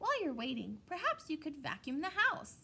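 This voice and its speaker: A woman puts on a squeaky character voice with a high pitch. She speaks at a moderate pace. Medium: read story. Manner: brisk, shrewd.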